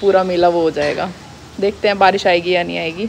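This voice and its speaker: A woman speaks at a moderate pace. Light background noise is present. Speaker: family vlogger. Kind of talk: casual vlog chat. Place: street. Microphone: phone near.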